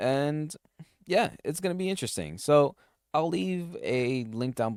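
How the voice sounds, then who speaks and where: A man's voice swings very widely in pitch. The sound is dry and close with no echo, on a very clean recording with a silent background. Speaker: solo tech podcast host. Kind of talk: casual solo podcast talk. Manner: halting, frequent restarts and fillers.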